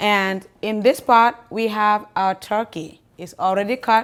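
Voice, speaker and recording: Very slowly, a woman speaks with ordinary pitch variation. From the Gambia. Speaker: cooking show host. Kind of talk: cooking demonstration. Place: kitchen.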